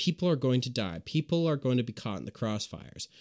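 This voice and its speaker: A man with a medium pitch and ordinary pitch variation speaks in an angry, passionate tone, the sound dry and close with no echo. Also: very clean recording, silent background. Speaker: podcast host. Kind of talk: angry political rant, sermon-like denunciation of Hamas. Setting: solo home recording, podcast. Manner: angry, heated, emphatic, condemning; passionate, preachy, sarcastic toward critics.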